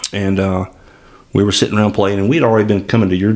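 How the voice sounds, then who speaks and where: A man speaks in a Southern US accent at a very deep, low pitch. His intonation is monotone and flat. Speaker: podcast host. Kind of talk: casual chat. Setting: studio.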